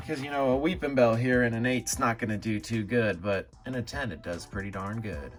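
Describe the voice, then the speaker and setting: Over music in the background, a man with a medium pitch speaks with lively intonation. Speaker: trading card collector YouTuber. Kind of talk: casual vlog commentary. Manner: hesitant, many filler words; speaking quieter for sleeping baby.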